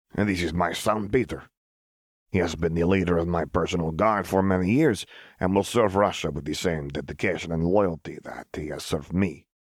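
A man puts on a gruff character voice with a very deep, low pitch at a fairly quick pace. The recording is very clean, with a silent background. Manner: gruff, stern, proud.

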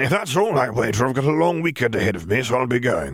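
A put-on character voice from a man, raspy and medium-pitched, with lively intonation at a very fast pace. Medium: read story. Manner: breezy, chummy, informal.

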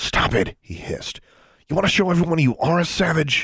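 A man's raspy, hissing put-on character voice, high-pitched with ordinary variation, at a fairly quick pace. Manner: hissed, angry.

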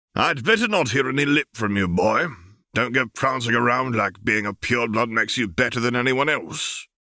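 A man puts on a gruff character voice at medium pitch, keeping a moderate pace and very even loudness. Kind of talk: audiobook character voice. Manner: gruff, blunt, teasing.

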